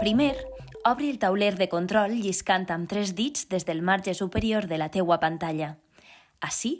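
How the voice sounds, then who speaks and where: Recorded very cleanly against a silent background, a woman with a Valencian accent talks at a fairly slow pace and a medium pitch. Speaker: voice-over narrator. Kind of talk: tutorial narration.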